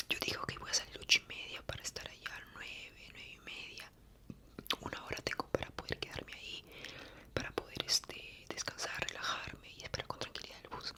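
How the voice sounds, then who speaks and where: Whispering at a fairly quick pace in a relaxed tone, a man's loudness swings a lot amid noticeable background noise. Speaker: ASMR content creator. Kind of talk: ASMR storytime, soft-spoken personal story to camera. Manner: soft-spoken, relaxed.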